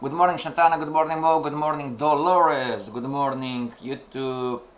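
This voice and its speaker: With a non-native accent, a man speaks at a moderate pace and a fairly high pitch. Background noise is noticeable. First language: not English. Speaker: trading teacher. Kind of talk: live-streamed lesson. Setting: live stream. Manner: halting, repeats words; energetic, addressing chat.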